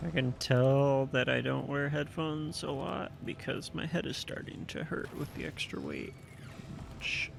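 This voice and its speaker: This man is soft-spoken and talks at a fairly slow pace. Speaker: gaming video creator. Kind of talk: casual commentary while unboxing. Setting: home recording, wearing headphones. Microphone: speaking close to the mic, may be too quiet.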